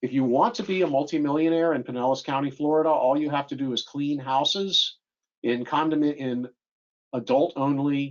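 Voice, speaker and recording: A plain, everyday voice from a man, fairly high-pitched and fairly quick, with fairly even intonation. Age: 60s. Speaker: estate planning lawyer. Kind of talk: presentation.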